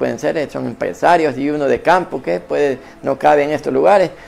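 A fairly high-pitched man talks fairly quickly against noticeable background noise. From Honduras, Copán. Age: 50s. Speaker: businessman giving religious testimony. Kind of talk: testimony.

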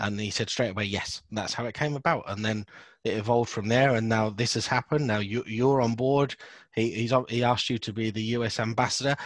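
A man with a British accent talks at a fairly quick pace and medium pitch. His intonation is fairly even, on a very clean recording with a silent background. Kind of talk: casual interview chat.

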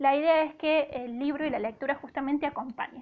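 The woman has a high-pitched voice. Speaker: radio literature columnist. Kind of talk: radio column. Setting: radio studio.

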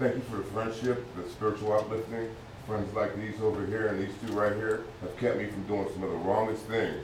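Against noticeable background noise, a man with a fairly low voice speaks fairly quickly in a flat monotone. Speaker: congregation member. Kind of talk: testimony.

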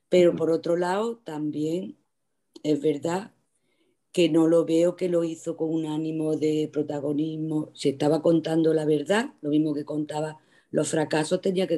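A woman's very deep, low voice with a dark, mellow tone, monotone, flat intonation and a fairly slow pace. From Andalusia, Jaén province. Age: 60s. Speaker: retired teacher, library user. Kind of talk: casual chat.

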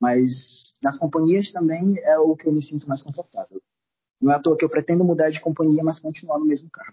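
An unremarkable speaking voice from a man, fairly high in pitch, fairly quick, with fairly even intonation. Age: 20s. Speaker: cruise ship crew member. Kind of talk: casual chat.

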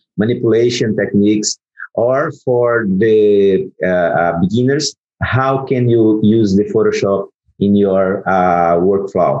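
In a Portuguese accent, the speaker moves at a very slow pace, keeping loudness very even and pitch variation ordinary. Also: man. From Brazil. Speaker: photographer and retoucher. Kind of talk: interview. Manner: halting.

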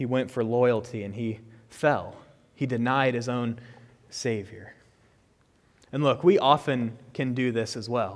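A medium-pitched man at a fairly slow pace, fairly even in intonation, with long, frequent pauses. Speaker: preacher. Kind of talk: sermon. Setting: church.

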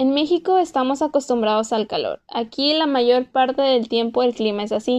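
Here a woman speaks at a moderate pace in a high pitch. The background is quiet. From Mexico. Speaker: podcast host, former exchange student. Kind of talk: casual solo podcast monologue.

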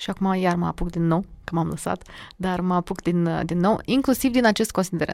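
A woman with a plain, everyday voice talks at medium pitch and a moderate pace. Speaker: diction and public speaking coach. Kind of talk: casual interview.

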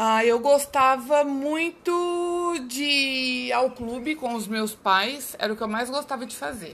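A woman with a high pitch speaks at a very slow pace, with hardly any pauses. Her loudness swings a lot. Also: ordinary pitch variation. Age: 40s. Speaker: mother interviewed by her child. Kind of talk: school interview.

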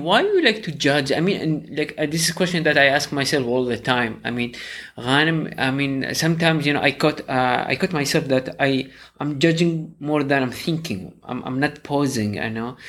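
A man with an ordinary speaking voice talks at a moderate pace and fairly high pitch, with ordinary pitch variation. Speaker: co-host interviewer.

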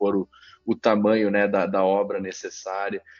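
A monotone, flat delivery in a southern Brazilian accent. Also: man. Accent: southern Brazilian (gaúcho). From Caxias do Sul, Rio Grande do Sul, Brazil. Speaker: company CEO and founder. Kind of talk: interview.

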